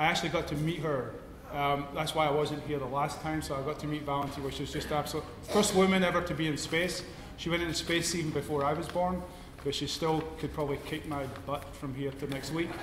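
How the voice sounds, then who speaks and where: In a Scottish accent, a man speaks at a very fast pace with monotone, flat intonation, amid audible room echo and noticeable background noise. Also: fairly high pitch for a man. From Scotland. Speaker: lecture series host, astronomer. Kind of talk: introduction at public lecture. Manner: hesitant, casual.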